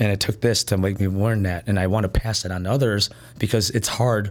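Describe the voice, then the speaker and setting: With a Chicago accent, a man speaks in a fairly low voice with fairly even intonation. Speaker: nightlife promoter. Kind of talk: casual interview.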